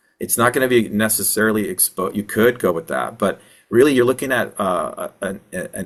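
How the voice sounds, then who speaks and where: The man's speech moves along at a fairly quick pace. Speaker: wildfire mitigation consultant and presenter. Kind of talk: webinar Q&A answering audience questions. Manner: fast.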